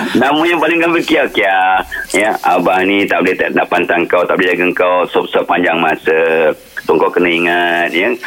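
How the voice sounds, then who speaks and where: A man at a moderate pace, very even in loudness, with noticeable background noise. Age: old. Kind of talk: radio interview.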